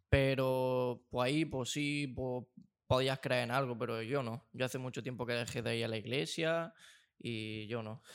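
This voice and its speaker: Over a very clean recording with a silent background, a man uses a normal speaking voice, with fairly even intonation at a fairly slow pace. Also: medium pitch for a man. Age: 20s. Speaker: film and sound student. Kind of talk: casual chat.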